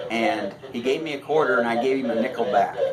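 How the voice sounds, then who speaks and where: In a Midwestern American accent, a man speaks at medium pitch with ordinary pitch variation, with audible room echo and noticeable background noise. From US Midwest, Iowa. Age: 70s. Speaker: retired barber, local resident. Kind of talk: oral history interview. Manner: halting.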